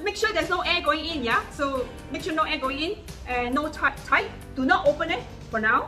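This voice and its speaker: With clear music in the background, a woman uses a raised, projected voice at a fairly quick pace. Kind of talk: casual cooking tutorial. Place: kitchen. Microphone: phone near.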